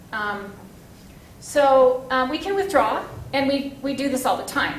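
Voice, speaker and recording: With audible room echo and noticeable background noise, a woman speaks at a high pitch with ordinary pitch variation. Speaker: federal regulatory project manager. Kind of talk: conference presentation. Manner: fast.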